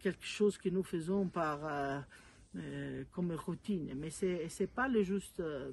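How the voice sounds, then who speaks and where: A woman speaks with an Italian accent. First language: Italian (speaking French). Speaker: mother of a beatified young man. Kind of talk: video message to a congress. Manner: halting, many hesitations.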